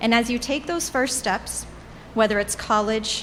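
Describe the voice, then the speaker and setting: A woman talks at a moderate pace with a fairly high pitch and fairly even intonation. Noticeable background noise runs underneath. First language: Portuguese. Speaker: alumni commencement speaker. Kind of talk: commencement speech. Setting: graduation ceremony with audience.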